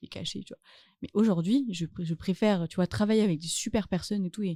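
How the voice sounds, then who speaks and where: Captured dry and close with no echo in a very clean recording with a silent background, a woman speaks at a medium pitch with a dark, mellow tone and ordinary pitch variation. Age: 20s. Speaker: actress and author. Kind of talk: casual chat.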